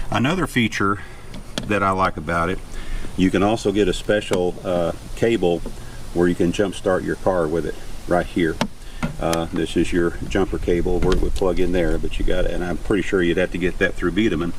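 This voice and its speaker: The man has a very deep, low pitch. He speaks at a fairly quick pace with fairly even intonation. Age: 70s. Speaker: YouTube vlogger, van lifer. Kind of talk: product review demonstration. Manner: casual, many filler 'uh's.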